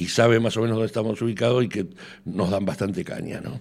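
This man has a plain, everyday voice at medium pitch. He talks fairly quickly with ordinary pitch variation. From Argentina. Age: 60s. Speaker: association secretary. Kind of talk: radio interview.

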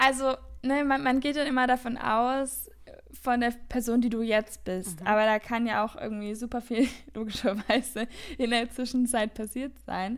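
At a moderate pace, a woman talks with a high pitch and fairly even intonation. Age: 20s. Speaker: podcast co-host. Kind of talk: casual chat.

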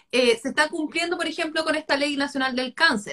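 This woman's voice has a bright, sharp tone. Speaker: talk series host. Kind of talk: live online conversation.

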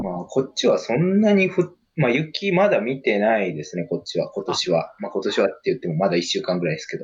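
A man talks at a fairly quick pace. He hardly pauses at all. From Japan, Kagawa. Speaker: podcast co-host. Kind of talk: casual chat.

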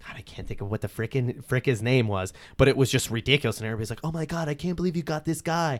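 With a Pennsylvania Coal Region accent, a man speaks with ordinary pitch variation. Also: very clean recording, silent background. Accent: Coal Region Pennsylvania, noticeable. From Coal Region, Pennsylvania. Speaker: local social media news page creator and festival organizer. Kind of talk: casual interview chat.

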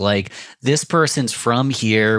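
On a very clean recording with a silent background, the speaker has a Western New York accent and ordinary pitch variation. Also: man. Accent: Western New York (Inland North) American. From Rochester, New York. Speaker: podcast producer and entrepreneur. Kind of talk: interview.

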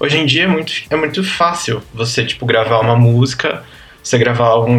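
A man speaks at a fairly quick pace with ordinary pitch variation while music plays in the background. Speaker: podcast guest, pop music fan. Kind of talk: casual chat.

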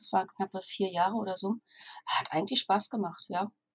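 Somewhat breathy and medium in pitch, a woman talks at a fairly quick pace, the sound dry and close with no echo. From northern Germany, Stralsund. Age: 40s. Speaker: virtual assistant and copywriter. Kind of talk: interview.

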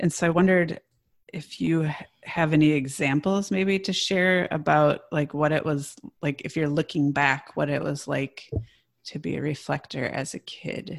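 A woman with a very deep, low voice and an American accent talks at a moderate pace. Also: ordinary pitch variation. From US Midwest. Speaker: podcast co-host. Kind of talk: interview conversation.

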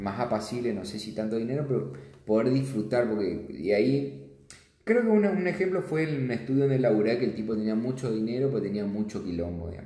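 A man at a moderate pace with very wide pitch swings, heard with audible room echo. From Misiones, Argentina. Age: 30s. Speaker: accountant. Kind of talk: interview. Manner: halting.

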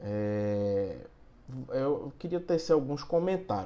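A man's voice with lively intonation. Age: 30s. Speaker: lawyer. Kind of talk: legal explainer monologue. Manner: halting, many filler hesitations.

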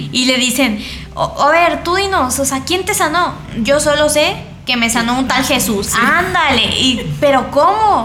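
A woman's raised, projected voice at a high pitch with a Mexican accent, lively intonation and a fairly slow pace, amid audible room echo and noticeable background noise. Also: very even loudness. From Mexico. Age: 20s. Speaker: theology student and Bible teacher. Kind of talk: casual religious discussion.

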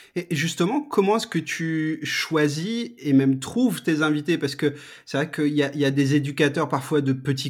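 The recording is very clean, with a silent background. The pace is moderate. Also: man. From France, Strasbourg (Alsace). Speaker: podcast host. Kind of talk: casual interview. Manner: hesitant, many repetitions.

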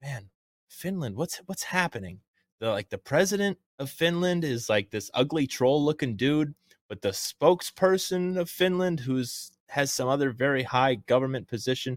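In a very clean recording with a silent background, a man speaks at a moderate pace. He has an unremarkable speaking voice, fairly high in pitch, with lively intonation. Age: 20s. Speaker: podcast host. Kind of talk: casual chat. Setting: studio.

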